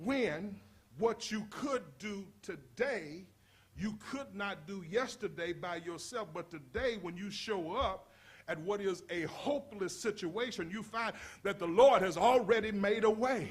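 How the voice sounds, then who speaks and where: The voice is loud and moves at a fairly slow pace, with ordinary pitch variation and audible room echo. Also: man, high pitch for a man. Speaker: pastor. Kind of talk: sermon. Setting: church. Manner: animated.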